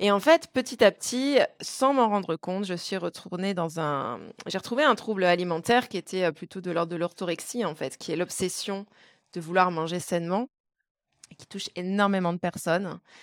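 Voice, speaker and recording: On a very clean, dry, close recording with a silent background and no echo, a woman speaks at a medium pitch and moderate pace, with ordinary pitch variation and big swings in loudness. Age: 30s. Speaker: wellness coach. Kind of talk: casual interview. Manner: halting, repeats words.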